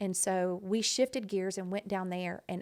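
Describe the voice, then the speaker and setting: A woman speaks with a Texas accent on a very clean recording with a silent background. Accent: Texas Southern US. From Southeast Texas. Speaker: non-profit founder. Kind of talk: podcast interview, personal story. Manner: animated.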